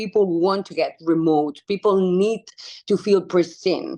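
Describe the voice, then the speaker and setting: A woman with a Spanish accent and a fairly low pitch. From Spain (Barcelona). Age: 30s. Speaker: wildlife conservation activist. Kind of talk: interview conversation.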